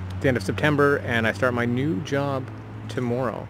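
Clear music sits in the background of a dry sound with no echo. The speaker's pitch varies in an ordinary way. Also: man. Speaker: vlogger. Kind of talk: casual vlog chat. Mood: relaxed, reflective. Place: garden. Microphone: phone near.

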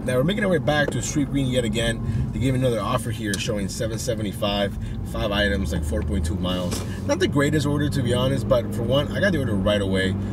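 Loud background noise fills the recording, though the sound is dry with no echo. A man speaks over it at a fairly quick pace. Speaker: delivery driver vlogger. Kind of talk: casual vlog chat. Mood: relaxed, slightly frustrated. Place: car. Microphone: phone near.

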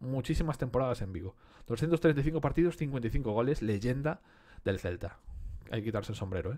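Over a quiet background, a man talks at a moderate pace with lively intonation and a dark, mellow tone. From Galicia, Spain (Betanzos); Galicia, Spain. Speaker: sticker collector youtuber; collector streamer. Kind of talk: casual unboxing commentary. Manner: casual, conversational with fillers. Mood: enthusiastic, nostalgic. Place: home room.

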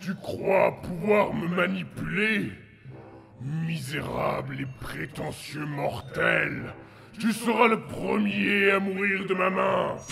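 A man's raspy, high-pitched, put-on character voice at a very slow pace, with clear background noise. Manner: menacing, contemptuous, wrathful.

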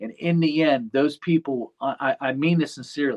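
Over a quiet background, a man talks at a moderate pace in a normal speaking voice with fairly even intonation. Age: 40s. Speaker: lawn care business owner and YouTuber; YouTuber. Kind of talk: casual chat. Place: office. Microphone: video call.

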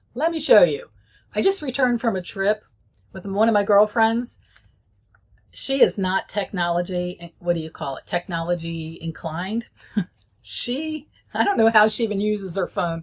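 A woman speaks with a somewhat breathy voice and long, frequent pauses. The background is quiet. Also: lively intonation, moderate pace. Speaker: presenter. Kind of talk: tutorial. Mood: friendly, chatty. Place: office.

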